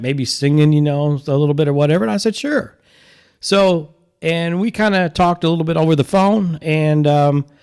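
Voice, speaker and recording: A man with an unremarkable speaking voice, fairly high pitch, ordinary pitch variation and very even loudness at a moderate pace, on a very clean recording with a silent background. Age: 60s. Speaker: podcast host and musician. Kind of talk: casual podcast talk.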